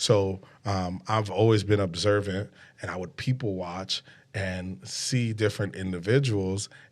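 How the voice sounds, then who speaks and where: Fairly slow speech in a New York accent, fairly even in intonation, on a very clean recording with a silent background. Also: man, fairly low pitch for a man. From New York City, Brooklyn. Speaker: podcast host. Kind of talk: casual interview chat. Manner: hesitant with fillers.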